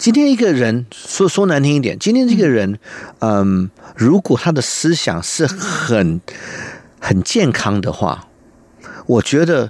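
A man's fairly high voice at a very slow pace, with very wide pitch swings, very even loudness, and long, frequent pauses. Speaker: cellist and music school owner. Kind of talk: interview conversation. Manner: halting, searching for words.

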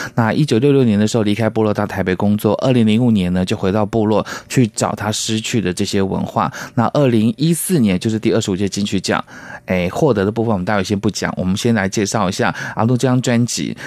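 A man with a fairly low pitch and ordinary pitch variation speaks at a very fast pace, his loudness very even. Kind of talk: radio interview chat.

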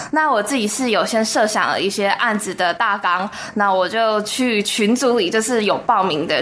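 A woman talks at a moderate pace with hardly any pauses, and there is noticeable background noise. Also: very even loudness. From Taiwan. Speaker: university student. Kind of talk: radio interview.

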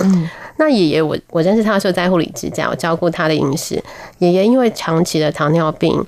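A plain, everyday voice from a woman, fairly low in pitch, with ordinary pitch variation and a moderate pace. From Taiwan, military dependents' village. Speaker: nutrition professor. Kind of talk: radio interview.

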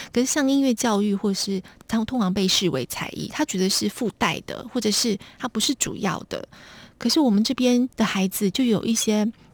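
A soft-spoken, somewhat breathy speaker talks at a moderate pace with ordinary pitch variation, in a dry, close sound with no echo and a very clean recording with a silent background. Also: woman, fairly high pitch for a woman. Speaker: foundation executive director. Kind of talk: radio interview.

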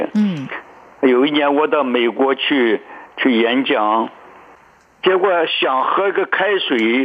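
Pitched fairly high, a man speaks very slowly with lively intonation, very even loudness, and long, frequent pauses. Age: 80s. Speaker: Chinese medicine doctor. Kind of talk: radio interview. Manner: halting, many fillers.

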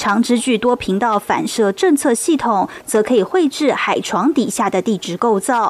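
Over noticeable background noise, a woman with a fairly high pitch speaks at a fairly slow pace with lively intonation and hardly any pauses. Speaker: news reporter. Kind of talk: news report.

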